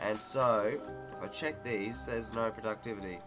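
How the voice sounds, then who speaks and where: Clear music plays in the background as a man talks at a fairly low pitch with lively intonation. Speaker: gamer. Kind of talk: casual gameplay commentary. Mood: mildly confused, frustrated.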